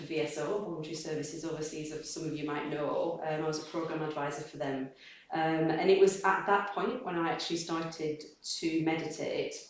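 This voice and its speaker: With audible room echo and noticeable background noise, a woman speaks fairly quickly in a fairly low voice with fairly even intonation. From northern England, Accrington, East Lancashire. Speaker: Buddhist practitioner speaker. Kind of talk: personal testimony talk. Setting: community gathering with small audience. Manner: halting.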